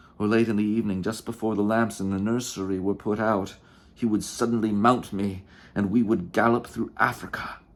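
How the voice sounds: Intonation holds fairly even here. The delivery is a natural reading voice.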